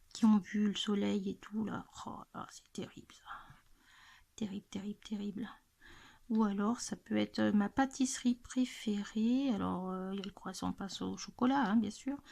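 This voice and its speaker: Somewhat breathy and dark, mellow in tone, a woman speaks at medium pitch with fairly even intonation and big swings in loudness. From central France, Loiret. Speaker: YouTuber, adult coloring channel. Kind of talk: casual chat, Q&A tag video. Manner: hesitant, many fillers.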